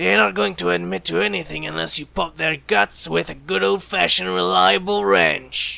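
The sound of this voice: A man's put-on character voice, high-pitched with a bright, sharp tone, vocal fry, fairly even intonation and a moderate pace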